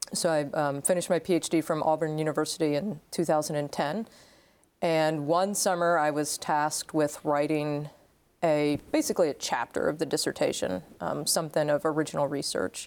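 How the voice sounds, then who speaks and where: In a very clean recording with a silent background, a woman with an American accent speaks at a moderate pace in a very deep, low pitch, keeping her intonation fairly even and her loudness very even. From Maryland, near Pennsylvania border. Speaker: historian and author. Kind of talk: interview.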